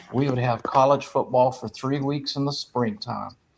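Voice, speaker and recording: Moderate pace in a South Carolina accent, with fairly even intonation. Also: man. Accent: Southern US (South Carolina). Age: 70s. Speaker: sports talk panelist. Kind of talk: casual chat.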